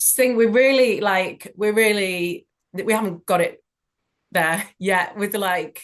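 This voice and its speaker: A woman's medium-pitched voice in a Yorkshire accent, very slow in pace, with ordinary pitch variation. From Leeds, England. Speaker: actor and writer. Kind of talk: interview answer.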